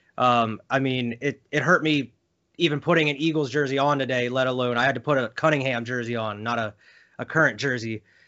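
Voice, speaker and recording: An unremarkable speaking voice with an American accent, fairly quick and fairly even in intonation. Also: man, medium pitch for a man. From Philadelphia area. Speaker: sports podcast host. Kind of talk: casual interview chat.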